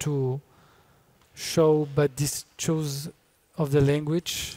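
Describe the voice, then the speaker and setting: The speaker has a Spanish accent and a dark, mellow tone, speaking very slowly with monotone, flat intonation. The sound is dry and close with no echo. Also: man. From Colombia. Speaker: filmmaker. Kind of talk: interview. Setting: festival venue talk. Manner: halting, many fillers.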